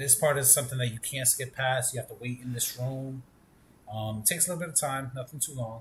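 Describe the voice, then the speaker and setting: Speaking at a very fast pace, a man with a medium pitch sounds somewhat breathy, his intonation fairly even. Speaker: gaming streamer. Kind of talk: gameplay tutorial commentary.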